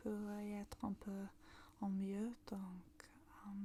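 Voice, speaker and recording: A soft-spoken voice at a very slow pace, with noticeable background noise. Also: woman. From northern England, Manchester. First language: English (speaking French). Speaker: ASMR creator. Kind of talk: casual ASMR talk. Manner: halting.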